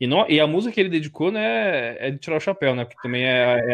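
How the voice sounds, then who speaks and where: At a fairly quick pace, this unremarkable speaking voice moves with lively intonation. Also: man. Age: 20s. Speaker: sports journalist. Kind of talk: casual interview chat.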